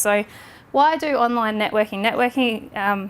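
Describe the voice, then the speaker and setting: This woman has an Australian accent. Her pitch varies in an ordinary way. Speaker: social media trainer. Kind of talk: lecture. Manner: fast.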